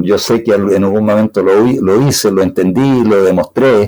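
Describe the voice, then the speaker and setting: Very slowly and with a dark, mellow tone, a man with a Chilean accent speaks in a fairly low pitch with ordinary pitch variation. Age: 70s. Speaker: computer scientist. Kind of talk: interview.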